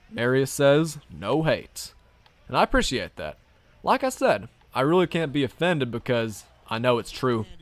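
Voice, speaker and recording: A man with a slight Southern US accent talks at a moderate pace with lively intonation. He leaves long, frequent pauses. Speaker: gaming streamer. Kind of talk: casual chat. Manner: animated.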